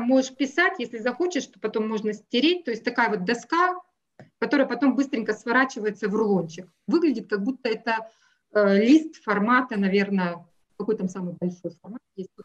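A woman talks at a moderate pace with a fairly high pitch and lively intonation. She has an unremarkable speaking voice. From Russia. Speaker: math teacher. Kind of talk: interview.

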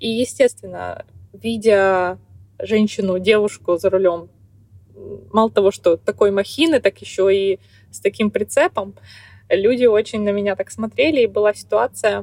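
A woman talks at a moderate pace, her sound dry and close with no echo. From Kazakhstan, small town. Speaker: truck driver and blogger. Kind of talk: interview.

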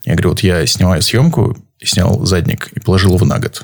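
Fairly low for a man, his somewhat breathy voice moves at a fairly quick pace. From Saint Petersburg, Russia. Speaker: photographer. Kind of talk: casual interview. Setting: live stream.

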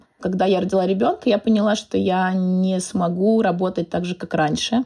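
Pitch shifts in an ordinary way. The voice carries a dark, mellow tone. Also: woman. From Moscow, Russia. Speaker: personal stylist. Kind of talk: casual interview.

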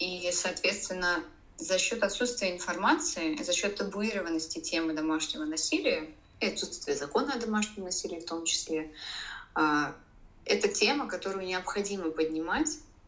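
With very wide pitch swings at medium pitch, a woman speaks at a moderate pace amid audible room echo. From Russia, Saint Petersburg. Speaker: domestic violence survivor and blogger. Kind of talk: interview testimony.

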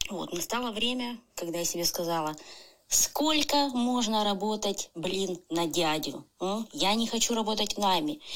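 A plain, everyday voice with lively intonation at a fairly slow pace. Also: woman, medium pitch for a woman. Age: 30s. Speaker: tattoo artist. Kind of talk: recorded personal story.

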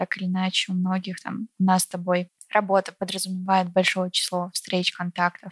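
A woman's somewhat breathy, monotone, flat voice at a medium pitch and moderate pace, in a dry, close sound with no echo. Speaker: podcast host. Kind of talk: interview conversation. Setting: at guest's home.

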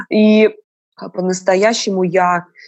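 The woman's voice sits fairly low in pitch. Her surroundings are quiet. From Moscow, Russia. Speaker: tour guide and opera singer. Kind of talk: casual chat.

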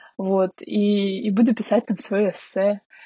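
In a somewhat breathy voice of medium pitch, a woman talks. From Russia, Magadan then Saint Petersburg. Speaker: master's graduate. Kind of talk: interview.

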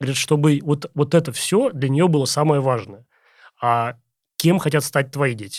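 On a very clean recording with a silent background, a man with a fairly high voice speaks at a moderate pace with ordinary pitch variation and long, frequent pauses. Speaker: podcast host. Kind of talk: interview.

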